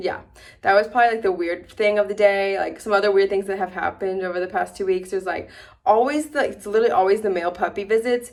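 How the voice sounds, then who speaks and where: A woman mumbles at a very fast pace, her pitch medium and her intonation fairly even. The recording is very clean, with a silent background. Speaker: new veterinarian vlogger. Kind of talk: casual vlog. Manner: mumbling, slurred words; fast, filler-heavy.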